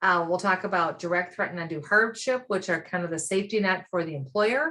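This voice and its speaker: With an American accent, a woman sounds enthusiastic in a bright, sharp, fairly low voice. Her pitch varies in an ordinary way. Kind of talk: webinar presentation. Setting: online webinar. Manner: fast.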